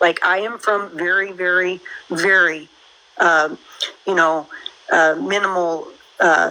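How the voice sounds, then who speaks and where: A woman's fairly low voice in an American accent, very slow and monotone, with long, frequent pauses and noticeable background noise. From United States. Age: 50s. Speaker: caller. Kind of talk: casual chat.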